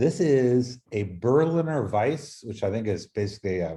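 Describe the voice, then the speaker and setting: A man speaks with a somewhat breathy, dark and mellow tone. His intonation is lively. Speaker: podcast host. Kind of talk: casual chat.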